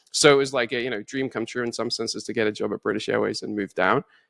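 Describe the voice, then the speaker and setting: A very fast-talking man at medium pitch, with vocal fry and ordinary pitch variation, in a very clean, dry, close recording with no echo and a silent background. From northeast England, Newcastle upon Tyne. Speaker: finance executive. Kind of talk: interview conversation.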